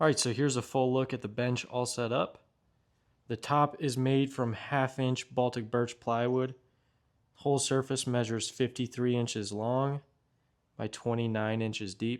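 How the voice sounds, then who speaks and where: The speaker talks at a moderate pace in a monotone, flat voice. The recording is very clean, with a silent background. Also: man, medium pitch for a man. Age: 20s. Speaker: carpenter. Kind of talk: casual tool walkthrough to camera.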